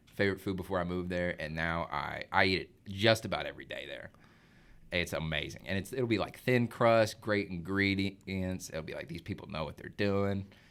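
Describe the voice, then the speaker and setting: A man's fairly low voice in an Arkansas accent, at a moderate pace with ordinary pitch variation. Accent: Southern US (Arkansas). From Arkansas, US South. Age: 20s. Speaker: young professional, son of host. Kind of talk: casual chat. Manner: casual, filler-heavy.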